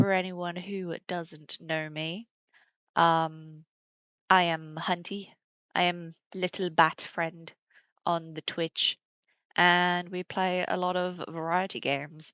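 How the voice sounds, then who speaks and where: At a very slow pace with long, frequent pauses, a woman speaks in a fairly low pitch with monotone, flat intonation. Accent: British. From Britain. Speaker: streamer. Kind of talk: casual chat.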